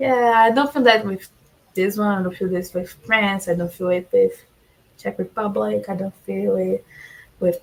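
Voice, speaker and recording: A woman speaks with a Portuguese accent. Her pace is moderate. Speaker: Eurovision fan guest. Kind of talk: casual chat. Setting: livestream.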